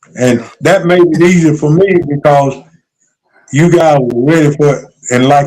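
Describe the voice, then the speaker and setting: Fairly high in pitch yet dark and mellow in tone, a man speaks at a moderate pace with ordinary pitch variation. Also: very even loudness. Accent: North Carolina. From North Carolina. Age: 70s. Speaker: retired basketball coach. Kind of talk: interview.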